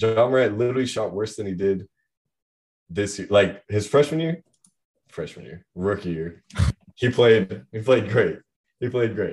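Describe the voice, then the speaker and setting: With an American accent, the somewhat breathy speaker moves at a moderate pace, with ordinary pitch variation, big swings in loudness and long, frequent pauses. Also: man, fairly low pitch for a man. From US Pacific Northwest (Bend, Oregon). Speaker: college student. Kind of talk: casual chat. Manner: slurred in normal speech.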